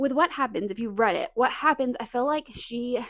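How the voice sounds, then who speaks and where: A woman speaks with an American accent in an animated tone. Her pitch is high. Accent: slight southern, more so when relaxed. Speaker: booktuber. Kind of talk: casual vlog chat.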